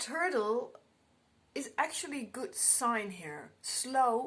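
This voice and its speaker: Speaking very slowly with a non-native accent, a woman uses a high pitch with very wide swings. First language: not English. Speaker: tarot card reader. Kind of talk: tarot reading. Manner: halting.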